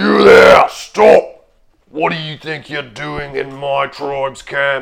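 Booming and fairly high-pitched, a man uses a put-on character voice. He speaks at a very slow pace. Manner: commanding, hostile.

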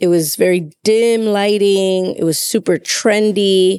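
A woman with an American accent speaks in an unremarkable speaking voice at a medium pitch. Her intonation is fairly even, and the sound is dry and close with no echo. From Chicago, US Midwest. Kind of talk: casual conversation about faith.

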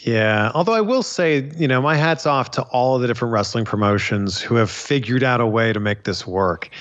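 With a Canadian accent, a man speaks in a plain, everyday voice at a fairly quick pace, medium in pitch with ordinary pitch variation, very even loudness and hardly any pauses. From Canada, Pickering, Ontario. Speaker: wrestling interviewer. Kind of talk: casual interview chat.

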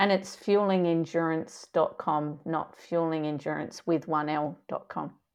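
Her voice is an ordinary speaking voice, fairly low in pitch for a woman. She goes at a fairly slow pace with fairly even intonation. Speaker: sports dietitian and podcast co-host. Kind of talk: casual chat.

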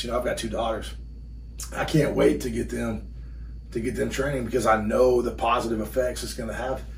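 Recorded with audible room echo, a man speaks at a fairly quick pace in a Texan accent. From Texas, Burkburnett near Wichita Falls. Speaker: strength coach. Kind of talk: casual chat. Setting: in person, in his gym.

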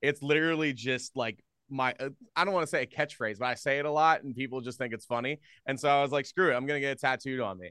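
Over a quiet background, a man with an American accent talks at a very fast pace, his fairly high pitch varying in an ordinary way and his bright, sharp tone heard dry and close with no echo. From US Northeast, Philadelphia area. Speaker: radio host. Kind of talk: casual chat. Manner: loud.

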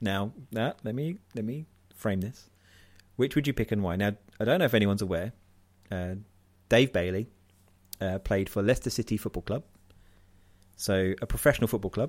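A man's fairly low voice with ordinary pitch variation, a fairly quick pace broken by long, frequent pauses, in a very clean recording with a silent background. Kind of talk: casual chat.

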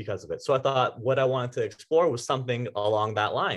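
A man with a Canadian accent and a normal speaking voice, medium in pitch and fairly quick in pace. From Ontario, Canada (Vaughan). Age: 20s. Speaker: medical student. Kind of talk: casual interview.

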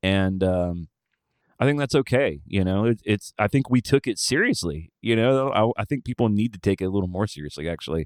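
In an Alabama accent, a man with a fairly low pitch speaks at a fairly quick pace with lively intonation, the sound dry and close with no echo on a very clean recording with a silent background. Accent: Southern US (Alabama). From rural Alabama. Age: 40s. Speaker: touring musician and podcast host. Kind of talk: casual interview conversation.

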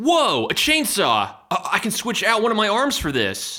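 Using a put-on character voice, a man speaks at a high pitch and a moderate pace, his tone bright and sharp, with very wide pitch swings.

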